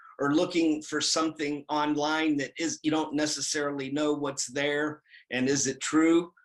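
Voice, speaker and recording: At a fairly slow pace, a man with a fairly high pitch talks in a plain, everyday voice. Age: 60s. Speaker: certified prosthetist, orthotist and pedorthist. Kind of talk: interview testimonial.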